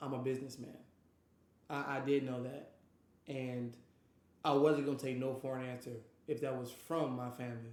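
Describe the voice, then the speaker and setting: In an American accent, a man speaks at a moderate pace and a medium pitch, his intonation monotone and flat. Long, frequent pauses break up his speech, and audible room echo surrounds it. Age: 20s. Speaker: streamer and podcast host. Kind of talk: personal life story monologue. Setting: live stream. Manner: passionate.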